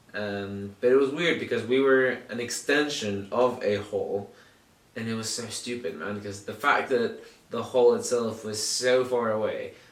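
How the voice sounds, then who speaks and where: At a fairly slow pace, a man with an American accent speaks at medium pitch, with audible room echo and noticeable background noise. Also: fairly even intonation, big swings in loudness. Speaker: podcast host. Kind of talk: casual chat. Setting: home recording in shared flat.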